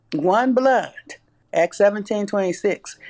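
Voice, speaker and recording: A Southern US accent at a moderate pace. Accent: Southern US (Georgia). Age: 70s. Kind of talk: interview testimony.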